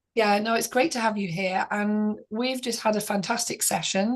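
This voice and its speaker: Music plays in the background. A woman speaks at a moderate pace and medium pitch with fairly even intonation. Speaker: author mentor and channel host. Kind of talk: interview.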